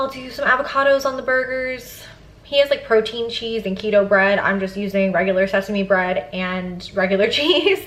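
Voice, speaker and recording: The speaker talks at a moderate pace with lively intonation. There is noticeable background noise. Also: woman, fairly high pitch for a woman. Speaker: lifestyle vlogger. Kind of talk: casual vlog talk to camera.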